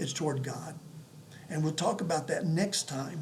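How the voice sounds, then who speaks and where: A fairly high-pitched man's voice amid audible room echo and noticeable background noise. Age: 70s. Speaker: pastor. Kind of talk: sermon. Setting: home apartment. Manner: halting.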